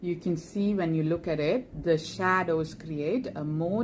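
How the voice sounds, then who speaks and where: Speaking in a Keralan accent, a woman uses a very deep, low pitch and ordinary pitch variation at a very slow pace. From India (Kerala). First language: Malayalam. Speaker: makeup tutorial creator, doctor. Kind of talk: makeup tutorial; casual aside.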